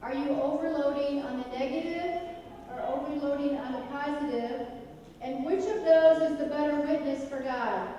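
A woman speaks at a moderate pace with a high pitch and fairly even intonation. Light background noise sits under strong room echo. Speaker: evangelism teacher. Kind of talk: interactive class-style sermon with audience questions, ending in prayer. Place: church.

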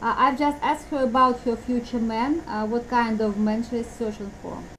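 High-pitched woman's voice with fairly even intonation over light background noise. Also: moderate pace. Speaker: dating agency host. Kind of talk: interview questions. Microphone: video call.

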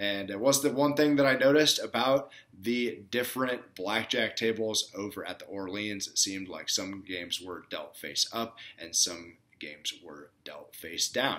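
A man's bright, sharp voice with lively intonation at a moderate pace. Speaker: blackjack vlogger. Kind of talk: casual vlog chat. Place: home room. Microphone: webcam.

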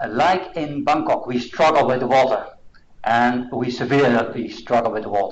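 A man speaks with a Dutch accent. His intonation stays fairly even. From Netherlands. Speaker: assessment institute director; presenter. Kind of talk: presentation. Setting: seminar room with online audience. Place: meeting room.

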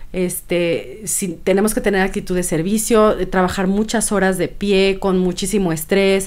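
A woman's monotone, flat delivery at a medium pitch, very even loudness, a moderate pace and hardly any pauses. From Michoacán, Mexico. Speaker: podcast co-host, cook; podcast co-host. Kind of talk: casual chat. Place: home room. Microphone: studio mic.

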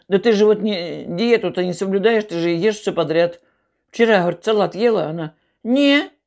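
Over a quiet background, the woman talks at a moderate pace. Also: ordinary pitch variation. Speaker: mukbang vlogger. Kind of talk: casual storytelling while eating. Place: home room. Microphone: earbuds.

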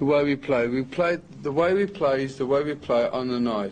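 A man talks at a moderate pace with ordinary pitch variation. Light background noise can be heard. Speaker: interviewee. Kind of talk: interview answer. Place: hall.

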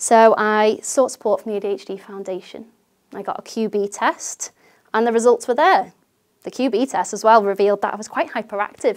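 A woman with a British accent talks at a moderate pace and fairly high pitch, her pitch varying in an ordinary way and her loudness swinging widely, over a quiet background. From UK. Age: 30s. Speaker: teacher sharing lived experience. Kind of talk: first-person talk to camera. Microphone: lapel.

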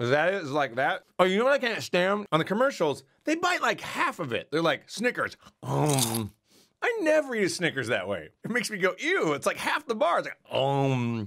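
At a moderate pace, a man's voice moves in very wide pitch swings against a quiet background. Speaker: streamer. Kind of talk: casual vlog chat. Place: home room.

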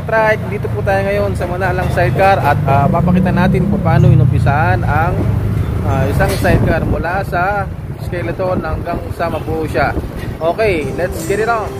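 The speaker talks at a moderate pace. There is loud noise in the background. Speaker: vlogger touring a workshop. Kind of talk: casual vlog chat. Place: workshop. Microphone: phone near.

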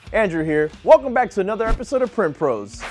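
A man's voice over faint music in the background. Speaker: product demo host. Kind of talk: tutorial. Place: studio. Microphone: lapel.

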